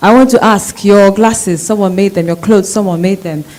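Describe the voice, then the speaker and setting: A woman's medium-pitched voice at a very fast pace over noticeable background noise. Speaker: audience member asking a question. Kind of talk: debate Q&A question from the floor. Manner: animated.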